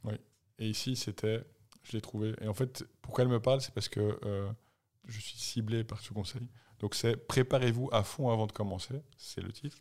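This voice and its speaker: A man's medium-pitched voice at a moderate pace, with fairly even intonation and long, frequent pauses. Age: 40s. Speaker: podcast co-host, runner. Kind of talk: casual chat.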